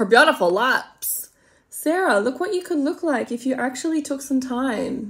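In an Australian accent, a woman with a high pitch speaks at a moderate pace with lively intonation against a quiet background. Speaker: makeup vlogger. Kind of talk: casual makeup tutorial with comedic commentary. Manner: chatty, rambling. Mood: playful, self-mocking. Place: home room. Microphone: phone near.

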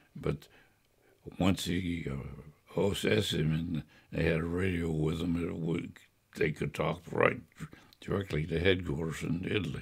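At a moderate pace, a somewhat breathy voice speaks with long, frequent pauses over a quiet background. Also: man, very deep, low pitch for a man. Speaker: World War II veteran. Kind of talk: oral history interview answer. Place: home room.

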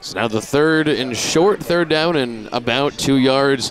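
A man speaks with an unremarkable speaking voice and fairly high pitch. Pitch variation is ordinary, the sound is dry with no echo, and there is light background noise. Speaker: color commentator. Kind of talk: sports analysis commentary; sports commentary. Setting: broadcast booth at a stadium. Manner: analytical, conversational. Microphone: headset.

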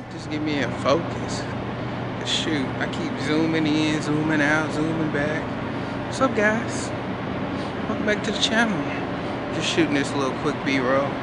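Loud background noise surrounds a man's voice, dry and without echo. His pitch shows ordinary variation. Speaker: vlogger. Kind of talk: casual vlog chat. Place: street. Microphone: phone near.

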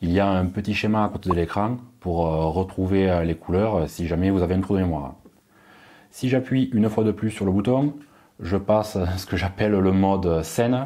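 The tone is dark and mellow, with ordinary pitch variation at a moderate pace. The background is quiet. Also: man, very deep, low pitch for a man. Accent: southern French. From southern France. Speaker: tech YouTuber. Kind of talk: product review. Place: home room. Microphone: lapel.

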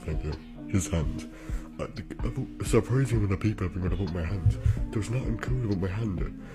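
With clear music in the background, a man talks at a fairly quick pace but leaves long, frequent pauses. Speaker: streamer reading viewer comments. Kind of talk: casual reaction commentary. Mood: dry, deadpan amusement. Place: home room.

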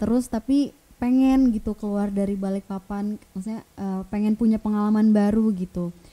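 A woman speaks at a moderate pace in a dark, mellow tone, her intonation fairly even. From Balikpapan, East Kalimantan, Indonesia; East Kalimantan, Indonesia. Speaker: vocational school teacher. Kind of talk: casual interview. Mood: friendly, relaxed. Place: studio. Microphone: studio mic.

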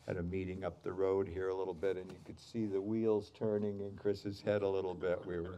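A man's very deep, low voice with a dark, mellow tone, monotone and flat, at a fairly quick pace with hardly any pauses, over light background noise. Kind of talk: ceremony speech. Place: street. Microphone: podium.

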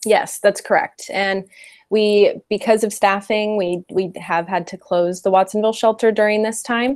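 A woman with an American accent speaks at a moderate pace in a fairly high pitch. Her intonation stays fairly even over a quiet background. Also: dry sound with no echo. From US, California Central Valley (Modesto); California. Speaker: animal shelter program and development manager. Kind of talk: interview. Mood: calm, friendly. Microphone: earbuds.

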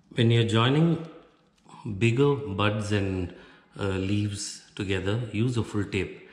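The voice is somewhat breathy, moving at a very slow pace with long, frequent pauses. Room echo is audible. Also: man, fairly low pitch for a man, ordinary pitch variation. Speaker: craft tutorial presenter. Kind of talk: tutorial. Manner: instructional, explaining step by step. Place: home room.

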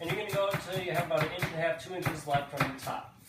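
A man talks at a fairly quick pace beneath loud background noise. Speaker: home cook host. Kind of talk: tutorial. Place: kitchen. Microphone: camera far.

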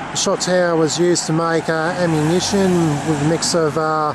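A moderate pace, noticeable background noise and a dry sound with no echo. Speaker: travel vlogger. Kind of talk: casual vlog chat. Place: street. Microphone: phone near.

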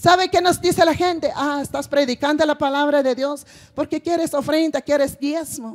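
A woman's high pitch, moderate pace and fairly even intonation over a quiet background. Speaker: preacher. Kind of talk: sermon. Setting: church with congregation. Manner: repeats phrases, rhetorical questions to congregation. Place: stage. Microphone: handheld.

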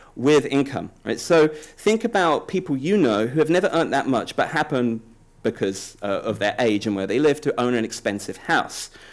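Against a quiet background, a man with a British accent talks at a moderate pace. His fairly high voice makes very wide pitch swings. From Britain. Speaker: political science professor. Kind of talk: conference presentation. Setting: conference panel with audience. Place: hall. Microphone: podium.

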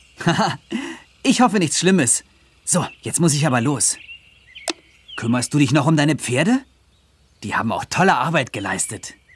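A man does a put-on character voice with a fairly high pitch, big pitch swings, and a slightly husky edge. He goes at a fairly slow pace with long, frequent pauses.

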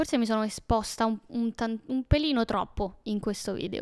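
A woman's fairly high voice at a moderate pace over a quiet background. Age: 20s. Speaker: YouTuber. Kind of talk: casual personal storytelling monologue. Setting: at home alone. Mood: intimate, reflective, somewhat emotional. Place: home room. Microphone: handheld.

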